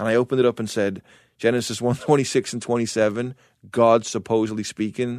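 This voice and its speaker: A man with an American accent talks at a fairly quick pace. The background is quiet. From England, Liverpool. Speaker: evangelist and former pro skateboarder. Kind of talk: testimony, a passionate preacher-style account of arguing with God over scripture. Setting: radio studio. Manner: animated, building to emphatic rhetorical questions; fast, quoting God and himself in dialogue.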